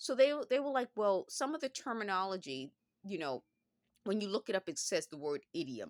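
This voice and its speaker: A woman of medium pitch with a New York accent speaks at a moderate pace, her voice showing vocal fry and very wide pitch swings in a dry, close sound with no echo and a very clean recording with a silent background. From Bronx, New York. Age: middle-aged. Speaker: former phone company worker. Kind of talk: casual talk to camera.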